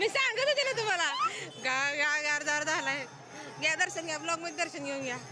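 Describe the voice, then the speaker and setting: A woman with an extremely high pitch speaks in a raised, projected voice, animated and with lively intonation, over music in the background with audible room echo. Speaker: MBA student vlogger. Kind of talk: casual vlog chat.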